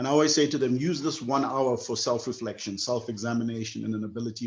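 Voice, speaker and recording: A man speaks at a medium pitch and a fairly quick pace. His pitch varies in an ordinary way. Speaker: program founder and webinar host. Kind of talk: closing remarks in online webinar. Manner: fast.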